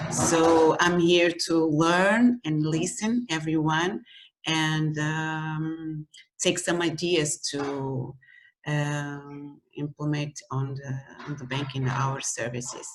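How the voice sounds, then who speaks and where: A woman talks at a very slow pace in a very deep, low pitch. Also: ordinary pitch variation. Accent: Portuguese. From Portugal. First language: Portuguese. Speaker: bank employee. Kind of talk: self-introduction. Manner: halting.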